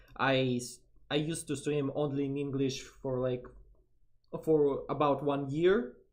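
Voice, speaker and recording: A man's fairly high-pitched voice at a fairly slow pace, with long, frequent pauses and audible room echo. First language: Russian. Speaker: vtuber streamer. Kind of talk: casual chat. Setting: live stream collab. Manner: halting.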